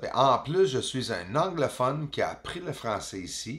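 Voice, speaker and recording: A man speaks with lively intonation and an animated tone. Vocal fry runs through his voice. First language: English (speaking French). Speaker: amateur astronomer, video host. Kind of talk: casual narrated telescope footage commentary. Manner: hesitant, many fillers.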